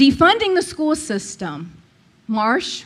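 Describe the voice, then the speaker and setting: A loud woman's voice with very wide pitch swings. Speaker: public commenter, former school board member. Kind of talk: public comment at meeting. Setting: public meeting with microphone. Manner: confrontational.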